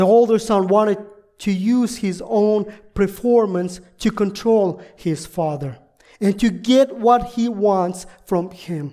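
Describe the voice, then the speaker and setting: Someone talks at a very slow pace in a Russian accent. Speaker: visiting pastor. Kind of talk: sermon. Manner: halting.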